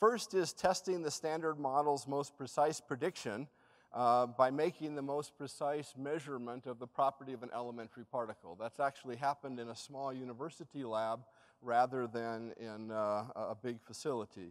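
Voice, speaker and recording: A man at a moderate pace, with ordinary pitch variation and big swings in loudness against a quiet background. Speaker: speaker. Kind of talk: lecture. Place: hall.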